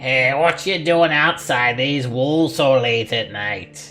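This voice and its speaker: A put-on character voice at a low-to-middle pitch and a fairly slow pace, with faint music in the background. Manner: suspicious, gruff challenge.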